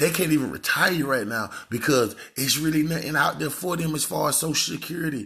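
A man's fairly high, bright, sharp voice with vocal fry, an animated tone, a fairly quick pace and ordinary pitch variation. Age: 30s. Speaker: podcast host. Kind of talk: casual monologue.

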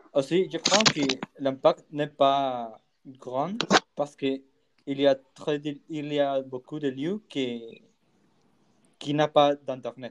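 With a Spanish accent, a man with a fairly high voice talks at a very slow pace, leaving long, frequent pauses, his pitch varying in an ordinary way over a dry, close sound with no echo. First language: Spanish (speaking French). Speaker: podcast co-host. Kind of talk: casual discussion. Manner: halting.

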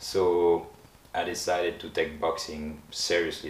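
With a French accent and a very deep, low pitch, a man speaks amid noticeable background noise and audible room echo. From France, Paris. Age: 30s. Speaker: professional boxer. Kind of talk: interview.

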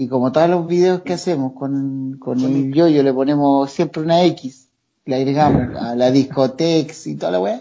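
Here a man with a Chilean accent has a fairly high pitch and ordinary pitch variation. His pace is moderate. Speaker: comedy video creator. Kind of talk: casual chat.

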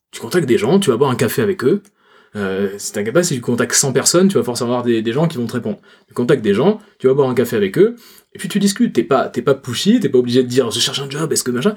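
A somewhat breathy man with a Toulouse accent, medium pitch, very wide pitch swings, and a very fast pace. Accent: Toulouse accent, noticeable. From Toulouse, southern France. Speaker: personal branding consultant. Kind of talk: casual chat.

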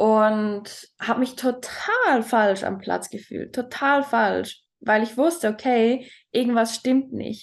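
A woman with a fairly high pitch speaks at a very slow pace with fairly even intonation against a quiet background. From Switzerland. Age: 20s. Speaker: talent mentor. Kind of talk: personal testimony in interview.

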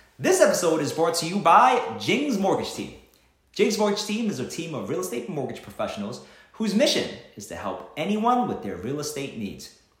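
Noticeable background noise sits behind a man's voice. He talks at a fairly quick pace with very wide pitch swings. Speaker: podcast host. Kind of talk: interview conversation.

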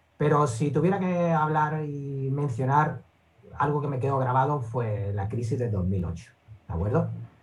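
A man's somewhat breathy, lively voice at a fairly slow pace, with audible room echo. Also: medium pitch for a man. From Andalusia, Seville (Spain). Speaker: investor and trading educator. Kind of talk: interview.

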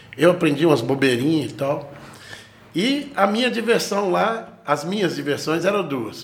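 A man's fairly high-pitched voice with lively intonation at a moderate pace, amid noticeable background noise and audible room echo. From Brazil, raised in Franca, São Paulo interior (born Goiânia). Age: 40s. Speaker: guitarist and music teacher. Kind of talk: casual interview chat.

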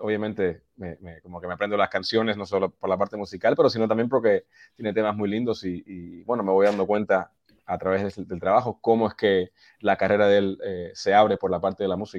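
With a dry, close sound and no echo, a man speaks fairly low and at a fairly quick pace, his intonation fairly even but his loudness swinging widely. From US, Boston area, Peruvian parents. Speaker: touring musician. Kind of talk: casual interview.

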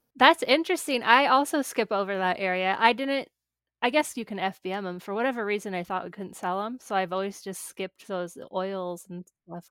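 A woman with an American accent at medium pitch, in a plain, everyday voice, at a fairly quick pace with big swings in loudness, on a very clean recording with a silent background. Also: ordinary pitch variation. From small-town US. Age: 30s. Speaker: podcast host. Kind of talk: interview.

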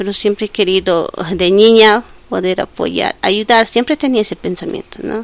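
An unremarkable speaking voice from a woman, fairly high in pitch with ordinary pitch variation, at a moderate pace, in a dry, close sound with no echo. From Bolivia, El Alto. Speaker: social worker with children. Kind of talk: interview.

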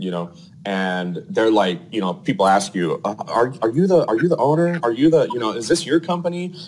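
This man's medium-pitched voice swings very widely up and down. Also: moderate pace. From Arizona. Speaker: plumbing company owner. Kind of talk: casual interview.

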